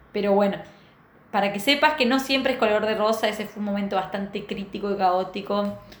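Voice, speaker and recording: A woman at a very fast pace, with noticeable background noise and audible room echo. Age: 30s. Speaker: podcast host and entrepreneur. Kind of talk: personal storytelling monologue. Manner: casual, hesitant with fillers.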